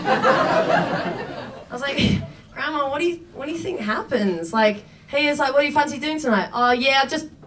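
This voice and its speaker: Noticeable background noise is present as a woman speaks at a high pitch. Her pace is moderate and her intonation lively. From Australia. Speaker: comedian. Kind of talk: stand-up. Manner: halting.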